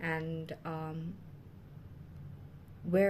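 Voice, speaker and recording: Through audible room echo and noticeable background noise, a woman speaks at a fairly low pitch. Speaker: tarot reader. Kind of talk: tarot reading monologue. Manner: fast; hesitant, many fillers.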